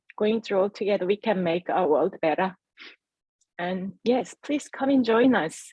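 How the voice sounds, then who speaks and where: A woman with a fairly high pitch and a dark, mellow tone speaks at a moderate pace, somewhat breathy, with ordinary pitch variation in a dry, close sound with no echo. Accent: Korean. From South Korea. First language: Korean. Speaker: entrepreneur. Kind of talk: testimony.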